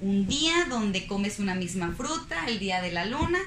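A woman of medium pitch talks at a moderate pace, with audible room echo and noticeable background noise. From Mexico, Guadalajara, Jalisco (Zapopan). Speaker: sports nutritionist. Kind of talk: casual interview.

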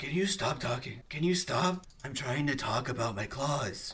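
A man puts on a character voice at medium pitch, speaking at a moderate pace with light background noise. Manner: casual, irritated.

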